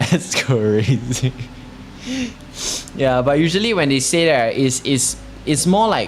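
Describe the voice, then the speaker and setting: Amid noticeable background noise, a man with a medium pitch speaks with lively intonation. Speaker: streamer. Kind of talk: casual chat. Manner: halting, many fillers.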